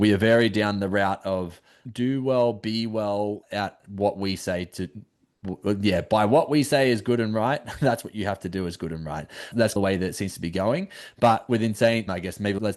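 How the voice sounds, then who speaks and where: Over a quiet background, a man with a fairly low pitch speaks at a moderate pace in an Australian accent. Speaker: podcast host. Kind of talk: podcast interview. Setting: video call.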